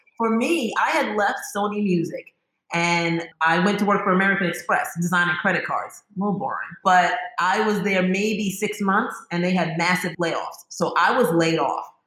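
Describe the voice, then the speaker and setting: Her bright, sharp tone sits at a medium pitch, and this woman keeps a moderate pace and fairly even intonation amid audible room echo. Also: very even loudness. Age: 50s. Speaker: natural bath and body company founder. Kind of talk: casual interview.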